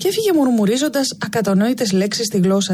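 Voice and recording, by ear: Lively intonation in natural-voiced reading aloud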